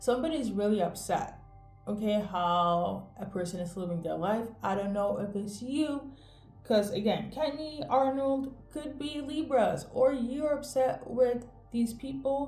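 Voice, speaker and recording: A fairly slow, lively woman's voice at a fairly high pitch, with audible room echo and music in the background. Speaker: tarot reader. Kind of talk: tarot reading to camera. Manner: casual, conversational.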